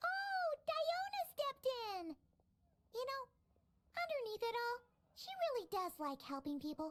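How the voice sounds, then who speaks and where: In a put-on character voice, squeaky and extremely high in pitch, the speaker moves at a moderate pace with very wide pitch swings and long, frequent pauses. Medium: game stream. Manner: chirpy, talkative.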